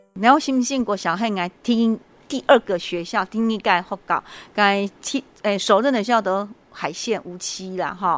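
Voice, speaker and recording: A woman at a medium pitch and a moderate pace, with ordinary pitch variation. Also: very clean recording, silent background. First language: Hokkien or Mandarin (learned Hakka by marriage) (speaking Chinese). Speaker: elementary school principal. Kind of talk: interview. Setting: school, on location. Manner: hesitant, many fillers.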